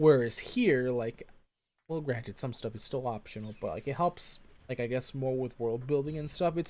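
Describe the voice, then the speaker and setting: Speaking at a moderate pace, a man uses a medium pitch and a dark, mellow tone, with ordinary pitch variation. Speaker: vtuber game streamer. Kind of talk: live gameplay stream commentary. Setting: live stream. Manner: loud; halting, repeats words.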